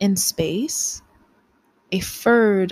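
A woman speaks at a very slow pace with a dramatic tone. Her voice is somewhat breathy, her intonation fairly even. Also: dry, close sound with no echo. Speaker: poet. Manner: slow, measured and hushed, with soft dramatic pauses; expressive, sensual and wistful.

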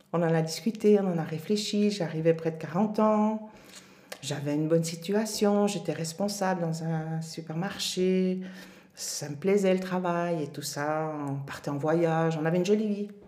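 A woman's fairly low-pitched, dark and mellow voice at a fairly slow pace, intonation fairly even, with audible room echo. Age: 50s. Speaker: mother sharing her life story. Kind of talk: interview testimony.

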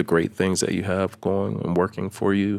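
The recording is very clean, with a silent background. A man speaks in a very deep, low voice. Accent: American. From Maryland, US. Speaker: operations manager. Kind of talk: casual chat.

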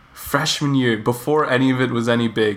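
At a moderate speed and medium pitch, a man talks in an unremarkable speaking voice. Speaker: podcast host. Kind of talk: casual chat.

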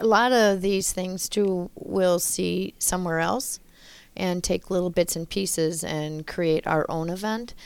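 On a very clean recording with a silent background, a woman with an Upper Midwest accent speaks very slowly at a medium pitch, her intonation fairly even. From Wisconsin (Loyal, rural). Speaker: city recreation manager. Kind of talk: casual interview.

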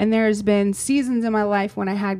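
A woman of medium pitch speaks at a moderate pace in a monotone, flat intonation. The recording is very clean, with a silent background. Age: 40s. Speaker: podcast co-host and business owner. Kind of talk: casual chat.

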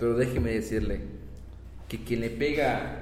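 A man at a moderate pace, with audible room echo. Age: 30s. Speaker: teacher. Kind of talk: casual chat.

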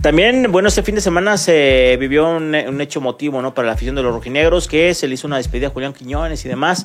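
With lively intonation and a fairly quick pace, a man speaks in a normal speaking voice at a medium pitch. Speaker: sports radio host. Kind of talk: sports talk show.

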